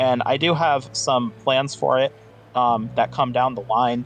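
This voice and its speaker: Music plays in the background. A man talks at medium pitch. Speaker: competitive gaming guest. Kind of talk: casual interview answer.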